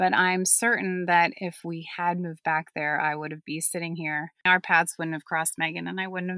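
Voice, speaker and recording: In a very clean recording with a silent background, a woman with a Western Pennsylvania accent speaks at a fairly quick pace and a fairly low pitch, her tone bright and sharp and the sound dry and close with no echo. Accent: Western Pennsylvania American. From US, Pittsburgh. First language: German. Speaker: podcast guest, mother of third culture background. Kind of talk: casual chat.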